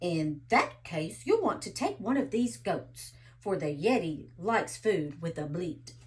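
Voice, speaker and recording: A woman puts on a growling character voice, speaking at a fairly low pitch and a fairly slow pace. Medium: read story. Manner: growling, indignant.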